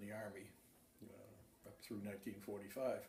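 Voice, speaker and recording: With an American accent, a man speaks at a fairly low pitch, and audible room echo surrounds his voice. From Massachusetts. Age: 70s. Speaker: war veteran. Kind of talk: oral history interview. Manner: halting, many fillers.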